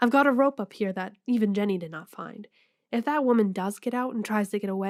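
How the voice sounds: A natural reading voice, its pitch varying in an ordinary way, stands out against a quiet background.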